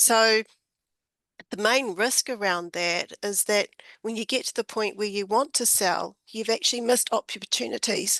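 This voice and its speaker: A woman puts on a croaky character voice, pitched fairly high, speaking at a moderate pace. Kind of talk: business talk.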